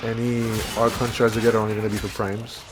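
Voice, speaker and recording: Music plays behind a man whose pace is moderate. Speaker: gaming youtuber. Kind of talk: gameplay commentary.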